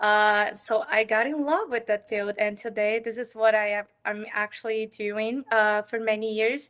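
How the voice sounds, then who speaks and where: A woman speaks in a fairly high monotone with flat intonation. The background is quiet. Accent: Portuguese. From Brazil. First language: Portuguese. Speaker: developer advocate. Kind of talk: interview.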